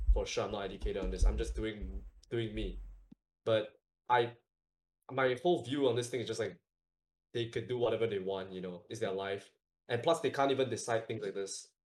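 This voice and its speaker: A man speaks at a fairly quick pace. Long, frequent pauses break up his speech. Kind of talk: casual chat.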